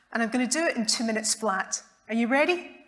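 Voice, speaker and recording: This speaker has a Scottish accent and a moderate pace. The pitch varies in an ordinary way. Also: woman. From Scotland, Glasgow. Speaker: neurologist. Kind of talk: public talk. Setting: stage with audience.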